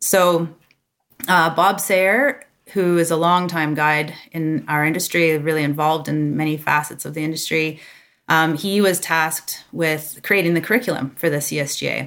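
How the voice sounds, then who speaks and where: With a Canadian accent, a woman talks at a moderate pace in a very deep, low pitch. Her intonation is fairly even, and the recording is very clean with a silent background. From Toronto, Ontario, Canada. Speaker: ski guide association president. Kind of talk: interview.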